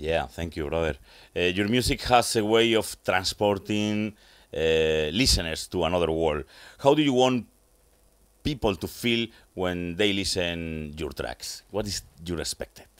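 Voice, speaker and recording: With a Spanish accent, a man speaks in a very deep, low pitch at a fairly slow pace, pausing long and often. His intonation is lively, and the background is quiet. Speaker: radio host. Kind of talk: interview. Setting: studio. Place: studio. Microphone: studio mic.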